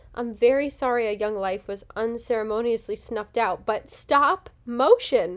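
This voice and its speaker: On a very clean recording with a silent background, a woman with a plain, everyday voice talks at a moderate pace with hardly any pauses and big swings in loudness. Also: fairly high pitch for a woman, ordinary pitch variation. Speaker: podcast host. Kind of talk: casual chat, show recap.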